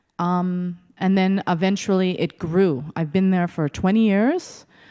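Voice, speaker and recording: A woman's medium-pitched voice with a dark, mellow tone and a Canadian accent, over a quiet background. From Montreal, Quebec. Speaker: executive director of a native women's shelter. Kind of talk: conference presentation. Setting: stage with audience. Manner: storytelling.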